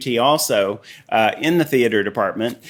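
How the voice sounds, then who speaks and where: He is a man. He talks with a Southern US accent. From Tennessee. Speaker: artist and former costume designer. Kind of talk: casual chat.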